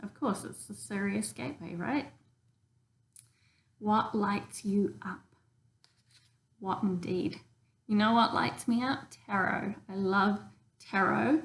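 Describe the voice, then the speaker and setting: Speaking very slowly with long, frequent pauses, a woman with a New Zealand accent keeps to a medium pitch. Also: ordinary pitch variation. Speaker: tarot reader. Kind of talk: casual tarot reading demonstration. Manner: casual, many filler ums.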